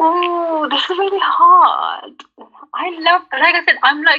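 A woman with a British accent and an extremely high pitch. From UK. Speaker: content creator. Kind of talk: casual chat.

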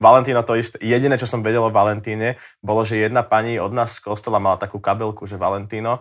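Very fast and monotone, a man speaks with flat intonation at a medium pitch. The recording is very clean, with a silent background. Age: young. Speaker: singer. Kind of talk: casual chat.

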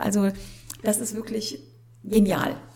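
Somewhat breathy, a woman's voice has a dark, mellow tone at a fairly high pitch. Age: 50s. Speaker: wedding celebrant. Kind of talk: interview.

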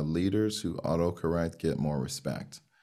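On a very clean recording with a silent background, a man with a Miami accent speaks in a very deep, low pitch with a dark, mellow tone. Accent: American, Miami. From Miami, Florida (Haitian-American family). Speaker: diversity consultant, business founder. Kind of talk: interview.

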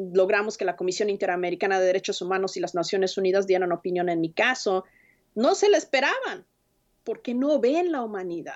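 This woman has a plain, everyday voice at a medium pitch with ordinary pitch variation. She speaks at a fairly quick pace. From Mexico City. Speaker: immigrant rights organizer. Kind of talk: interview.

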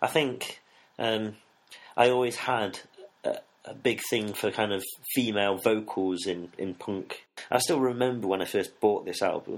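Talking at a moderate pace with an East Midlands accent, a man leaves long, frequent pauses. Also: medium pitch for a man, ordinary pitch variation. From England, Nottingham. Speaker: music fan, former student radio presenter. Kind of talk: casual interview. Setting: studio.

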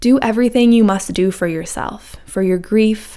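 The recording is very clean, with a silent background. A woman speaks in a plain, everyday voice at a medium pitch with fairly even intonation. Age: 30s. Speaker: wellness coach and podcast host. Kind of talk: scripted monologue.

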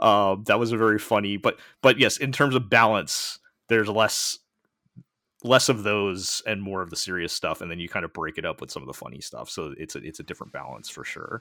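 With an American accent, a man talks at a fairly quick pace in a fairly low pitch, his bright, sharp tone touched by vocal fry, ordinary pitch variation and big swings in loudness, on a very clean recording with a silent background. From United States. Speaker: podcast host. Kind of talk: casual chat.

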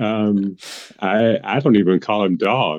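Speaking very slowly in an American accent, a man uses a fairly low pitch. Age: 60s. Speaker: podcast guest and blog contributor. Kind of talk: casual chat.

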